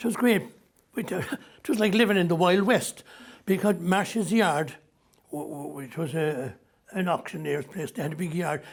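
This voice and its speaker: A high-pitched man with a Cork accent, moderate pace, ordinary pitch variation and long, frequent pauses. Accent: Cork Irish. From Ireland, Cork city. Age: 80s+. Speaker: musician and entertainer. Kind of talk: interview.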